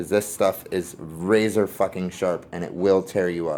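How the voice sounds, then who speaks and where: Against light background noise, a man speaks fairly slowly in a very deep, low voice with flat, monotone intonation. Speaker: firearms hobbyist YouTuber. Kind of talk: tutorial. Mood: relaxed, candid. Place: garage. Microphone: phone near.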